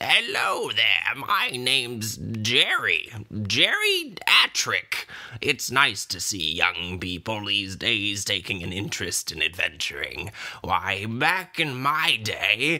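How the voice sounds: A man puts on a character voice at a medium pitch, strained and shaky. His pitch swings very widely. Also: fairly slow pace.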